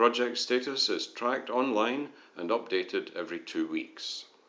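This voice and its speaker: A man talks at a moderate pace, his voice echoing audibly in the room. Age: 60s. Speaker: retired software engineer. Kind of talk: conference presentation. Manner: formal.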